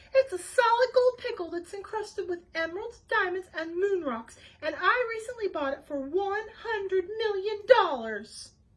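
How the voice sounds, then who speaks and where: Using a put-on character voice, a woman speaks at an extremely high pitch with lively intonation and big swings in loudness. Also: moderate pace, hardly any pauses. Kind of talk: fancy, posh. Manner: insistent.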